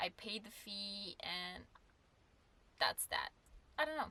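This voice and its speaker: A woman with a non-native accent, speaking at a fairly slow pace in a bright, sharp tone. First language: not English. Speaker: full-time van dweller. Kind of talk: casual Q&A talk to camera. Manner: hesitant, many filler sounds.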